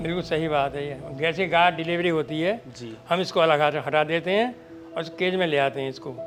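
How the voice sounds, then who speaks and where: A man with a fairly high pitch speaks while music plays in the background. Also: ordinary pitch variation, moderate pace. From Bulandshahr, Uttar Pradesh, India. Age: 80s+. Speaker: dairy farmer. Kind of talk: interview answer. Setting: outdoors.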